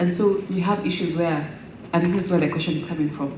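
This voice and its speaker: A woman's fairly low voice with ordinary pitch variation, noticeable background noise and audible room echo. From Kenya. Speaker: parliamentary officer. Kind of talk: audience question at a workshop.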